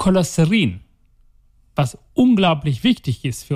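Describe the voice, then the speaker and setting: A man speaks at a very slow pace in a somewhat breathy voice, his pitch swinging very widely. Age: 40s. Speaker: heart surgeon. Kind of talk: casual interview. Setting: recording in the city with helicopters and sirens outside.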